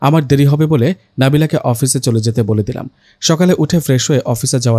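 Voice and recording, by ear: The delivery is reading aloud in a natural voice, with ordinary pitch variation.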